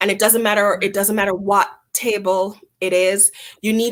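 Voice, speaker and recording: In a Jamaican accent, a woman speaks with monotone, flat intonation. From Jamaica, Montego Bay. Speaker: chamber of commerce executive. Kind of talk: interview.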